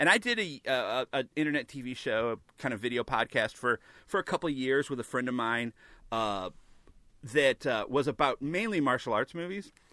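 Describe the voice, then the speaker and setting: A man with an American accent talks at a fairly quick pace in a bright, sharp, medium-pitched voice with lively intonation. The very clean recording has a dry, close sound with no echo and a silent background. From US Midwest (St. Louis, Missouri). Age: 40s. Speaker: podcast host, magic news site.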